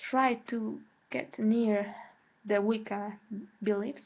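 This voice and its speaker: A woman with a Mexican accent. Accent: Mexican Spanish accent in English, self-noted. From Mexico. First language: Spanish. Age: 20s. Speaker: spiritual vlogger. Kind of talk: personal vlog monologue. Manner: hesitant, with repetitions.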